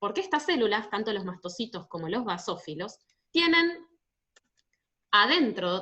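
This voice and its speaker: Her tone is bright and sharp. The woman's pitch swings very widely. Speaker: university physiopathology teacher. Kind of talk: online class Q&A lecture. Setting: online video class.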